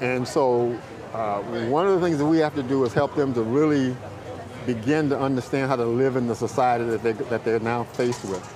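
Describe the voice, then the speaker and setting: With an American accent, a man of medium pitch speaks at a fairly quick pace with ordinary pitch variation over noticeable background noise. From US South, rural North Carolina. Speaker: youth mentor and parole program coordinator. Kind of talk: interview.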